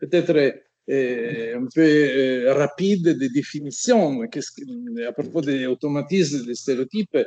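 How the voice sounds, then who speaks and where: Speaking at a fairly slow pace, a man with an Italian accent uses a fairly high pitch and lively intonation. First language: Italian (speaking French). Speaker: semiotics professor. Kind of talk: academic lecture. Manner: halting, many hesitations.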